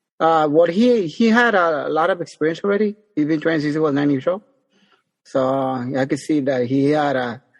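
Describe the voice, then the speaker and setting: A man's fairly high voice rises and falls in a normal way at a medium speed. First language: not English. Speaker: boxing trainer. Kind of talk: interview. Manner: halting, many fillers.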